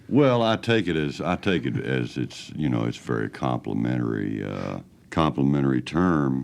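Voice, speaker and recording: With music in the background, a man with a very deep, low pitch talks at a moderate pace with lively intonation. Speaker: country singer. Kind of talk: interview answer. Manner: soft-spoken.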